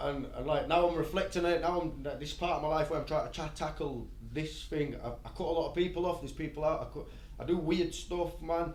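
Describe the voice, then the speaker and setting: Spoken fairly quickly in a Yorkshire accent, the clip has audible room echo and noticeable background noise. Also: man. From Bradford, West Yorkshire, England. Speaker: rapper. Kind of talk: podcast interview. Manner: fast, hyped up.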